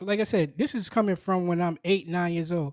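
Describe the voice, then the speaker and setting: On a very clean recording with a silent background, a man speaks in an animated tone with a New York accent. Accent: New York City. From Brooklyn, New York. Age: 40s. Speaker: podcaster. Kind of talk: casual monologue.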